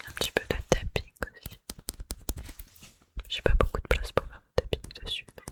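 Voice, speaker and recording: Whispering at a moderate pace, a woman pauses long and often, her loudness swinging widely. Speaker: ASMR content creator. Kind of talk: casual talk to camera, ASMR whisper-style intro. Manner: soft-spoken, relaxed, chatty.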